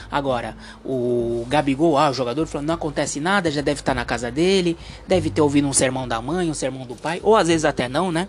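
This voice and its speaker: A man talks very fast. His pitch is fairly high. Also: ordinary pitch variation. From Brazil, Santos (São Paulo coast). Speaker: podcast host. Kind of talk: opinion monologue. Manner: halting, many fillers; animated.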